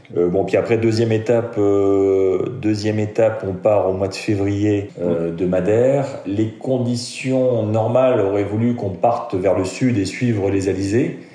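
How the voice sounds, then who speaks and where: Fairly low male voice at a fairly slow pace, hardly any pauses, fairly even intonation and very even loudness, with audible room echo and noticeable background noise. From France, Lorraine (Metz). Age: 50s. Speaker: amateur offshore sailor. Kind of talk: interview storytelling. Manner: hesitant, many fillers.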